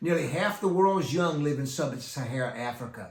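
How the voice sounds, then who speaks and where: Against noticeable background noise, a man talks with lively intonation at a fairly high pitch. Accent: American. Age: 60s. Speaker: youth ministry teacher and author. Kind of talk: talk to youth ministry leaders. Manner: halting.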